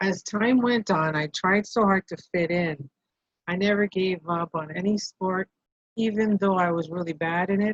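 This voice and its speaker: A woman in a Canadian accent, moderate in pace and medium in pitch, with fairly even intonation and a dry, close sound with no echo. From northern Ontario, Canada, Cree community. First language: Cree. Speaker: social work student. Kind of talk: reading a personal essay aloud.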